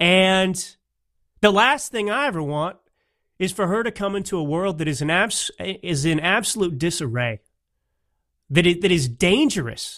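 Long, frequent pauses punctuate a man's high-pitched, lively delivery in an American accent at a moderate pace, on a very clean recording with a silent background. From Texas, Dallas area. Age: 30s. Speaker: political podcast host. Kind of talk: political commentary monologue. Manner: halting, many repetitions and fillers.

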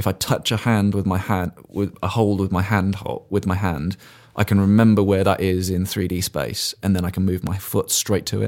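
A man's very deep, low voice with an English accent, ordinary pitch variation, and a moderate pace, in a very clean recording with a silent background. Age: 30s. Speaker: blind paraclimber. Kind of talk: interview. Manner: hesitant, with fillers.

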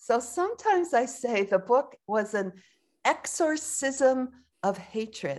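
Speaking very slowly with lively intonation, a woman talks at a high pitch in an American accent. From United States. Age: 70s. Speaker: Zen teacher and author. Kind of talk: interview conversation, reflective.

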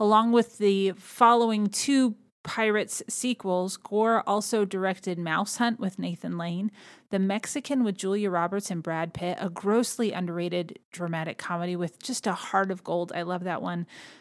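A woman speaks at a moderate pace in an American accent, with medium pitch and ordinary pitch variation in a normal speaking voice. The recording is very clean, with a silent background. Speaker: podcast host. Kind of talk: casual solo podcast narration.

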